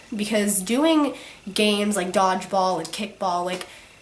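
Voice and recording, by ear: With audible room echo, a woman talks at a medium pitch with ordinary pitch variation. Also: fairly slow pace.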